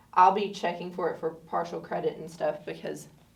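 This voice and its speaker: In a room with audible echo, a woman speaks at a moderate pace with fairly even intonation. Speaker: math teacher. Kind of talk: tutorial.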